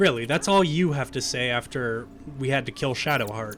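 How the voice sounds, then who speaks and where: A man uses a normal speaking voice at medium pitch. He speaks at a moderate pace with lively intonation. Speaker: gaming let's play host. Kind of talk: casual gameplay commentary.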